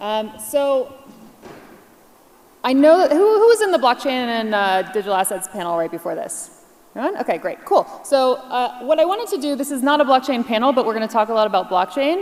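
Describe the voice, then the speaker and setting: The pace is fairly quick, with an American accent and very wide pitch swings. Background noise is noticeable. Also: woman, high pitch for a woman. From US Northeast, New York. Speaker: keynote speaker, blockchain partner at a tech firm. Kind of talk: conference keynote presentation. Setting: stage with audience. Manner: fast; animated.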